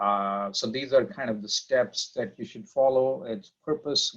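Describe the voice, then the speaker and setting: A man with a non-native accent at a fairly slow pace. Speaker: professor. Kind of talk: lecture. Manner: halting, many fillers.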